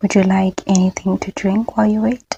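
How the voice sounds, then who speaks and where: A soft-spoken woman with a medium-pitched, somewhat breathy voice and a dark, mellow tone. The sound is dry and close, with no echo. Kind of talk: ASMR medical role play.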